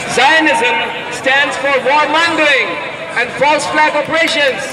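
Loud background noise runs under very slow speech. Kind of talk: rally speech, protest address to a crowd. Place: street. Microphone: pa.

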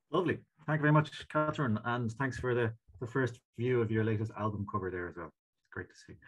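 A man with an Irish accent talks very fast in a somewhat breathy voice, his intonation lively. His loudness swings widely, and the background is quiet. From Ireland. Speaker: session chair. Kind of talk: online conference moderation; meeting moderation. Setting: video call. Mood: warm, appreciative. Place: home room. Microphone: webcam.

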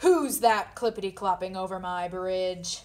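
A woman bellows in a put-on character voice at medium pitch. Her pace is moderate. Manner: roaring.

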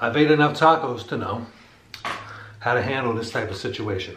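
Light background noise and audible room echo surround a man as he talks. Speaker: food reviewer. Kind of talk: casual food review chat. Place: home room.

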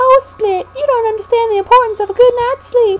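This female-sounding voice is a put-on character voice with a Southern US accent, pitched extremely high. The pace is fairly quick. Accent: Southern belle.

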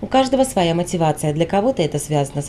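A woman's fairly low voice at a very fast pace, over noticeable background noise. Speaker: TV news reporter. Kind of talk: scripted narration.

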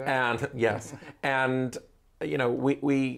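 A man speaks with fairly even intonation. Light background noise is present. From Manchester, England. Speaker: travel agency owner. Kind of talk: interview answer. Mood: friendly, animated. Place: office. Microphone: lapel.

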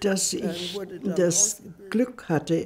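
A woman speaks with a dark, mellow tone and vocal fry. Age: 80s+. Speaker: journalist and writer. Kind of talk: interview answer. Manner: hesitant, many filler sounds. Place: home room.

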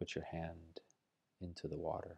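A man speaks in a very deep, low voice with a dark, mellow tone. His delivery is calm and soothing, in a monotone, flat intonation. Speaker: meditation guide. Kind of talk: guided meditation. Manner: slow, soft-spoken, soothing; calm, gently paced with long pauses. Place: home room. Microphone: earbuds.

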